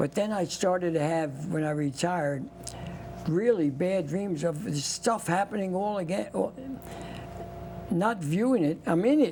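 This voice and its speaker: A man with a high voice and lively intonation talks at a fairly slow pace, leaving long, frequent pauses, while noticeable background noise plays behind him. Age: 90s. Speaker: war veteran. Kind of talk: interview testimony.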